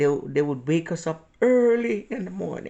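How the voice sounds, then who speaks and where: A woman talks at a fairly slow pace. She has a strong Jamaican accent. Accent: Jamaican, still strong. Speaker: vlogger. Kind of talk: personal storytelling. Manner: halting.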